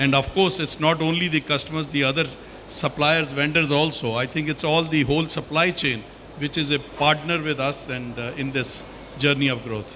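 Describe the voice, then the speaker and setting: Over noticeable background noise, a man with a fairly high pitch speaks with fairly even intonation. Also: moderate pace. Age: 70s. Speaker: company executive. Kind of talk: panel discussion.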